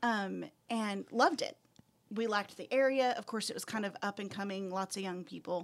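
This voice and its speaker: In a Texan accent, the speaker keeps a moderate pace with ordinary pitch variation. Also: woman, medium pitch for a woman. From West Texas. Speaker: school administrator. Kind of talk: casual chat.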